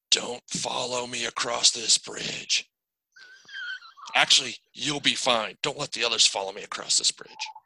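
A put-on character voice, raspy and delivered at a moderate pace. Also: man, medium pitch for a man. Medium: actual play. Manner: nervous.

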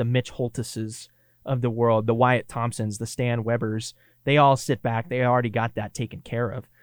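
With a Kansas accent, a man speaks at a medium pitch on a very clean recording with a silent background and a dry, close sound with no echo. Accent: Kansas Midwestern, nasal. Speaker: student radio sports producer and broadcaster. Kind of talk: podcast breakdown of game broadcast with play-by-play clips.

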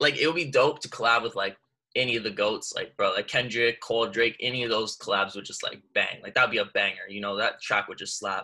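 A man with a Canadian accent talks at a very fast pace. His loudness swings widely. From Canada. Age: 20s. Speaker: rapper and university student. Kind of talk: casual interview chat.

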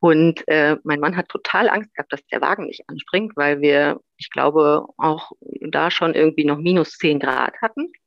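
A woman's very deep, low pitch, ordinary pitch variation, and a fairly slow pace. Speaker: new mother sharing birth story. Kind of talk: interview, personal testimony.

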